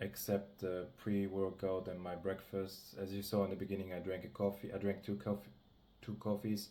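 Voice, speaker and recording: A man's dark, mellow voice with a non-native accent, fairly quick and monotone with flat intonation. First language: not English. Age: 20s. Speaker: amateur bodybuilder vlogger. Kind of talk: casual vlog talk to camera. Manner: halting, many self-corrections.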